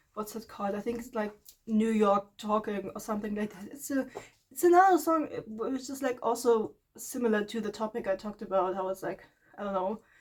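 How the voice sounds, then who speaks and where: Speaking at a fairly quick pace with a non-native accent, a woman uses a fairly high pitch with ordinary pitch variation and big swings in loudness. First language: not English. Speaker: art vlogger. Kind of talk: casual monologue. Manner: rambling, halting with fillers; stumbles over words.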